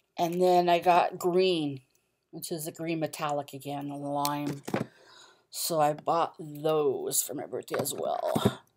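A woman talks at a very slow pace in a very deep, low voice with flat, monotone intonation. Noticeable background noise sits behind her. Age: 40s. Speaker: art and craft vlogger; craft vlogger. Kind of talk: casual haul vlog. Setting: at home. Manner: halting, many fillers. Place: home room. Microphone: webcam.

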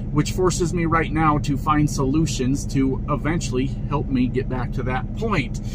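Over loud background noise, a man talks with ordinary pitch variation in a dry sound with no echo. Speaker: truck driver vlogger. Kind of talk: casual vlog chat. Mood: exasperated, mocking. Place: car. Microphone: phone near.

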